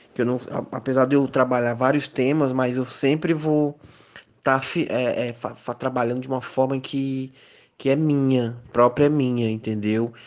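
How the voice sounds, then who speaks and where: The delivery is fairly slow. Its intonation is monotone and flat. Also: man, medium pitch for a man. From Piauí, Brazil (Miguel Alves). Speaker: visual artist and university professor. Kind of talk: interview. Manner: hesitant, frequent fillers.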